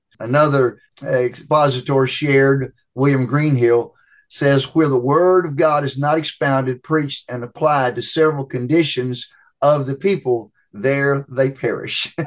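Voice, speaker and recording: Against a quiet background, a man with an unremarkable speaking voice, fairly high in pitch, talks at a fairly slow pace with fairly even intonation. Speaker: preaching professor. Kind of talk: interview answers on preaching.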